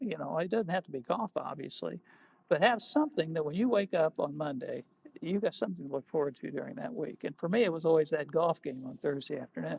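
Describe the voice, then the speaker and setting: With an American accent, a man talks at a very fast pace in a fairly high pitch with lively intonation and vocal fry, in a dry, close sound with no echo. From US Midwest, Evansville, Indiana. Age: 70s. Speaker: lawyer. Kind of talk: oral history interview. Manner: halting, with frequent repetitions.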